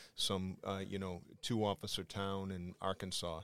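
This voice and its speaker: With a Boston accent, a man talks in a fairly low pitch and a monotone, flat intonation. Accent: Boston, Massachusetts. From Quincy, Massachusetts. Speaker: police chief. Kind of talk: casual interview.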